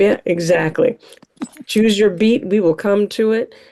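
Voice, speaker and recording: With a dark, mellow tone and ordinary pitch variation, a woman speaks at a moderate pace. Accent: American. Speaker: festival host. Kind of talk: closing remarks at online event.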